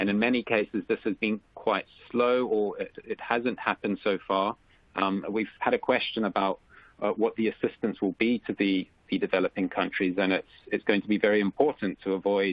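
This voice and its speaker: With a slight South African accent, a man talks at a moderate pace in a fairly low pitch with monotone, flat intonation. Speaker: economist. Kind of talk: webinar presentation. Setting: webcast, remote call. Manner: halting, many fillers.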